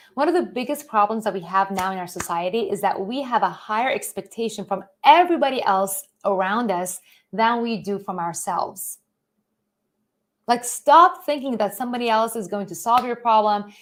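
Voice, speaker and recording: Speaking at a moderate pace, a woman uses a fairly high pitch, an animated tone, and lively intonation. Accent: Iranian. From Iran. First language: Persian. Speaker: author and financial educator. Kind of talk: live-stream motivational talk. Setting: live online stream.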